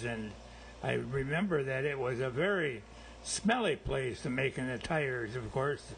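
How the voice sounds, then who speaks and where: Speaking at a fairly slow pace, a man uses a medium pitch with ordinary pitch variation. His voice has vocal fry. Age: 80s+. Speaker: company founder. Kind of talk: life story memoir narration.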